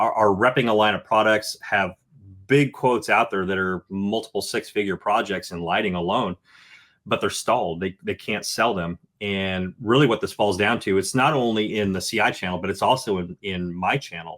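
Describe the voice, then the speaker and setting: A man's fairly low voice, with ordinary pitch variation, comes through on a very clean recording over a silent background. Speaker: outdoor lighting designer. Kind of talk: podcast interview. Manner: fast.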